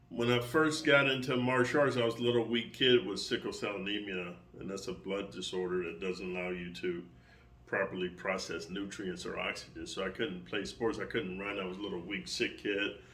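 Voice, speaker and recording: A man talks at a fairly quick pace in a fairly low voice with a bright, sharp tone and lively intonation. Audible room echo surrounds him. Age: 60s. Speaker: martial arts coach and online creator. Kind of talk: casual monologue to subscribers. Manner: casual, with fillers and repetitions.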